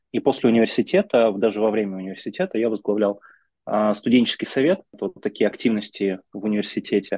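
Very fast and with ordinary pitch variation, a man speaks in a fairly low pitch with a dark, mellow tone, the sound dry and close with no echo against a quiet background. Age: 30s. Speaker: business executive and mentor. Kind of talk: interview.

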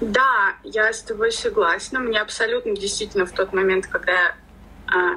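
Speaking at a fairly quick pace, a woman is heard over noticeable background noise. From Russia, Ufa (Bashkortostan). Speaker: tattoo artist. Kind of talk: casual chat.

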